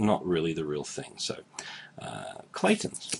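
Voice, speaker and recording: A man speaks with an Australian accent. Noticeable background noise sits behind him. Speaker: YouTuber teaching Australian slang. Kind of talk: casual explainer talk to camera.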